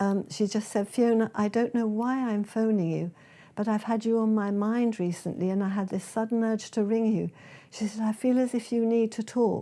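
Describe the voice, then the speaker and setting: A woman with a British accent speaks at a moderate pace in a fairly high pitch, her dark, mellow tone carrying monotone, flat intonation and very even loudness on a very clean recording with a silent background. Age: 80s+. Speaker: speaker and author. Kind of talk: testimony.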